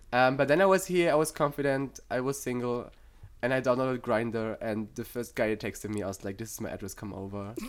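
Very fast speech from a man with a German accent, medium pitch, ordinary pitch variation and big swings in loudness. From Germany. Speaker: psychology student. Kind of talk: casual chat.

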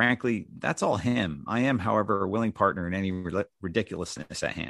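A man with an American accent and a normal speaking voice, moderate pace and lively intonation, in a dry, close sound with no echo. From US Northeast, New Jersey. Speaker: father of a child with IA/ARM. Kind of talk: reading own story and interview chat. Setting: video call.

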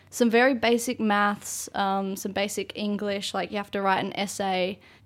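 A woman with an Australian accent, fairly high pitch, fairly even intonation and a moderate pace. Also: very clean recording, silent background. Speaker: university student. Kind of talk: casual chat. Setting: studio.

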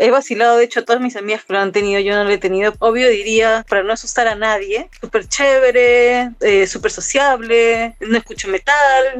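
A woman with a plain, everyday voice, fairly high in pitch, with ordinary pitch variation and a moderate pace. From Peru, Ica. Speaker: tattoo artist and musician. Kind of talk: casual chat. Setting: remote call.

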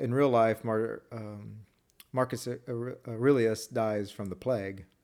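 At a fairly slow pace, a man with a medium pitch talks with fairly even intonation and big swings in loudness. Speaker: podcast co-host. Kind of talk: casual chat. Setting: home kitchen table, evening. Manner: quiet-toned; soft-spoken.

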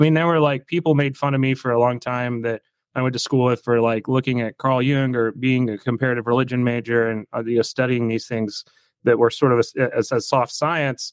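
A man speaks fairly quickly in a plain, everyday voice at medium pitch. The intonation is fairly even, and the sound is dry and close with no echo. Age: 30s. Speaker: podcast host and therapist. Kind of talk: interview.

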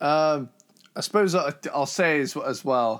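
The speaker has a plain, everyday voice with ordinary pitch variation. The pace is moderate, and the recording is very clean with a silent background. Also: man. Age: 20s. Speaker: metal podcast co-host. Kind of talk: casual chat.

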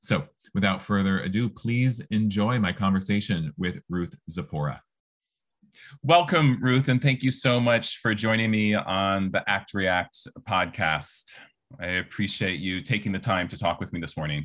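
A man with an ordinary speaking voice, fairly low in pitch, lively in intonation, at a fairly slow pace. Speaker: podcast host. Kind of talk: interview conversation. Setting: video call.

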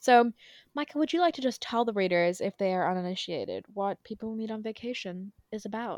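A woman talks at a fairly quick pace in a fairly high pitch with an unremarkable speaking voice, the sound dry and close with no echo. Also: lively intonation. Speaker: podcast host. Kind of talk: casual chat. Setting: home recording, remote.

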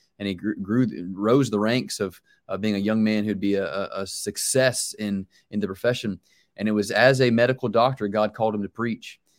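Speaking at a fairly quick pace, a man with an American accent and a plain, everyday voice keeps his fairly low pitch to fairly even intonation, in a very clean recording with a silent background. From US South, Charlotte, North Carolina. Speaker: pastor. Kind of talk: interview.

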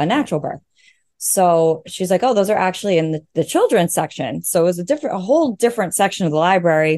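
A woman with a New York accent talks at a very fast pace and medium pitch, her dark, mellow tone carrying lively intonation over a quiet background. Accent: New York American. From US, Long Island, New York. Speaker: new mother sharing birth story. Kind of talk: casual interview, personal story.

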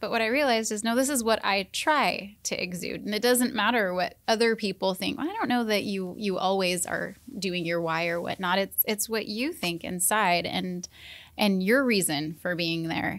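Here a woman talks in a normal speaking voice. Her pace is moderate and her pitch varies in an ordinary way. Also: medium pitch for a woman. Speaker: senior center wellness coordinator. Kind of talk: casual chat. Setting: studio.

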